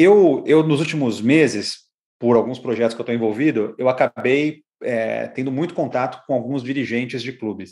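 The recording is very clean with a silent background. A man talks at a moderate pace and medium pitch, with ordinary pitch variation. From Brazil, São Paulo. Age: 50s. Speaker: marketing consultant. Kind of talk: interview. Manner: halting.

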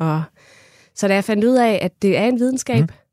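Recorded very cleanly against a silent background, a woman's dark, mellow tone comes through at a moderate pace in a dry, close sound with no echo. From Funen, Denmark (Kerteminde). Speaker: ice cream maker and food scientist. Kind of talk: interview. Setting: studio.

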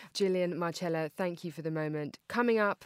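A woman speaks at a moderate pace with a fairly low pitch and ordinary pitch variation, in an unremarkable speaking voice. The sound is dry and close, with no echo. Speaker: podcast host, magazine editor. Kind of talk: magazine-style podcast hosting. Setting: studio. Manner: formal.

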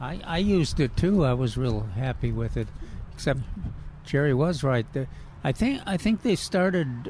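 A fairly high-pitched man with lively intonation at a moderate pace, long, frequent pauses and noticeable background noise. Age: old. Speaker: horticulture expert, radio co-host. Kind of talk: call-in radio show. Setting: live radio broadcast from a nursery. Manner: halting.

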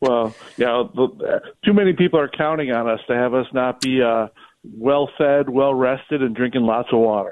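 A man with an unremarkable speaking voice talks at a moderate pace and medium pitch, his loudness very even throughout. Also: ordinary pitch variation. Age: 50s. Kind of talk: casual interview. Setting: late-night recording.

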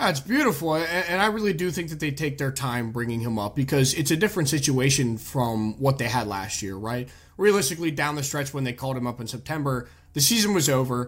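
A man with a fairly high, somewhat breathy voice speaks very fast with lively intonation. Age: 20s. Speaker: sports podcast host. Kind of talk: casual chat.

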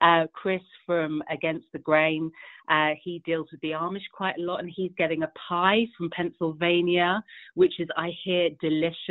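Fairly low female voice with a British accent, monotone and flat in intonation, moderate in pace, with big swings in loudness. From England. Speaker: event organizer. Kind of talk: casual interview.

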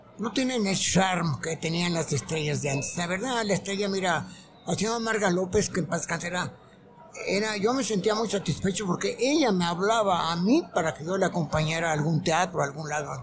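High-pitched male speech at a moderate pace, with ordinary pitch variation, audible room echo and noticeable background noise. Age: 80s+. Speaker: entertainment journalist. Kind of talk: interview. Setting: live broadcast at a conference.

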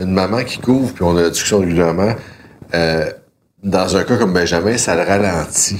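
The man's fairly low voice shifts in pitch by an ordinary amount as he talks at a moderate pace. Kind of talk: casual chat. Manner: often loud.

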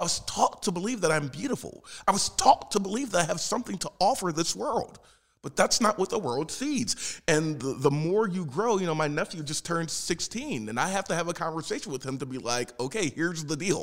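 With an American accent, a man talks in a high pitch at a fairly quick pace. His pitch swings very widely. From South Philadelphia, US. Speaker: puppeteer and actor. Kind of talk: interview. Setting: studio.

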